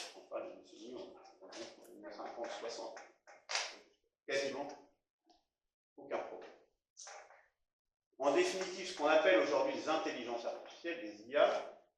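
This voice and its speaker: A man at a moderate pace, with long, frequent pauses, big swings in loudness and audible room echo. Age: 60s. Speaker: retired software engineer giving a talk. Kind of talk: presentation talk. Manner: halting, many filler sounds.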